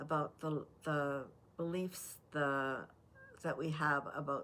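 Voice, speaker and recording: A woman with a Canadian accent talks at a very deep, low pitch with fairly even intonation. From Canada. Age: 80s+. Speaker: life advice vlogger. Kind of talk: talking-head advice monologue. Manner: unscripted, many fillers and restarts.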